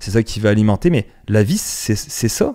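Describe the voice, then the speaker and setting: A man with fairly even intonation. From France. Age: 30s. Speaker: podcast host. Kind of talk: casual monologue podcast. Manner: hesitant, repeats words.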